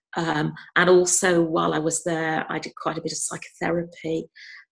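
A woman speaks with a slight Scouse accent. Her pace is moderate. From Liverpool, England. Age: 50s. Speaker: retired psychiatrist. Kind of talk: interview.

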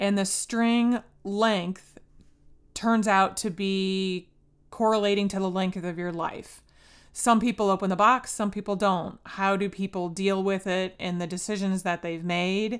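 Her pitch medium and her intonation monotone and flat, a woman talks at a fairly slow pace on a very clean recording with a silent background. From US Midwest, northwest Indiana. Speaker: podcast host. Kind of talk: casual chat. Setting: recorded in a room together with guest. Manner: loud.

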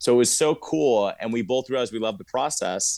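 Over a silent background in a very clean recording, a man uses a normal speaking voice at a fairly quick pace. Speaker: actor. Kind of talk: casual chat.

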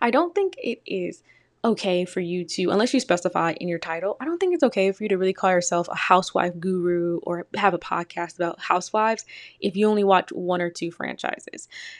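A woman with an American accent speaks at a fairly quick pace in a medium pitch, with ordinary pitch variation and a plain, everyday voice. The recording is very clean, with a silent background. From Detroit, Michigan, US. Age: 20s. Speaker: podcast host. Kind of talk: solo casual commentary.

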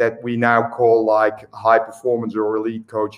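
A man is talking. His accent is Dutch. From Netherlands, Eindhoven. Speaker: swim coach. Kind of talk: interview.

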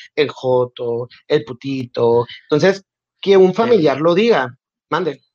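This man has an unremarkable speaking voice with a fairly high pitch. He speaks at a fairly slow pace. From Mexico, Nogales, Sonora. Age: 20s. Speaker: communications graduate, LGBTQ+ community member. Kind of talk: casual interview.

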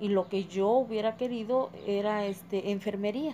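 A woman's fairly high-pitched voice with a dark, mellow tone and fairly even intonation. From Tulcingo de Valle, Puebla, Mexico. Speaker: homemaker interviewee. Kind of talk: interview answers.

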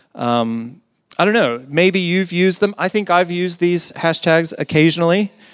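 In an American accent, a man talks at a fairly slow pace in an ordinary speaking voice with ordinary pitch variation. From US South. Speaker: pastor. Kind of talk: sermon.

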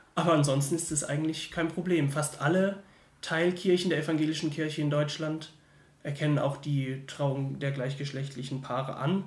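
A somewhat breathy man talks at a moderate pace. His pitch is fairly high and his intonation fairly even. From Germany, Mannheim. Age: 20s. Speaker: theology student. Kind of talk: casual interview. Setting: in person recording.

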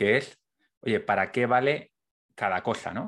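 In a quiet background, a man with a medium pitch talks at a moderate pace with lively intonation. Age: 30s. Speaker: podcast host. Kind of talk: interview conversation.

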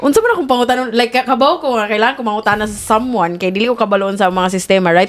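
Over noticeable background noise, a woman talks at a very fast pace with hardly any pauses, a fairly high pitch and ordinary pitch variation. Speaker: podcast co-host. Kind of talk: casual chat.

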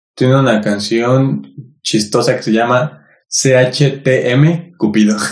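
Speaking with a Mexican accent at a very slow pace, the man has a medium pitch and ordinary pitch variation. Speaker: podcast co-host. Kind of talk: casual chat.

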